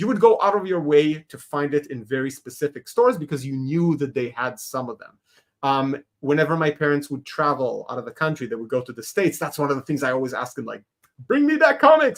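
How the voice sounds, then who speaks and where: A man with an Israeli accent talks at a fairly quick pace, his pitch fairly high and showing ordinary variation. His loudness swings widely. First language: Hebrew. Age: 40s. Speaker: animator and comics creator. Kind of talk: podcast interview.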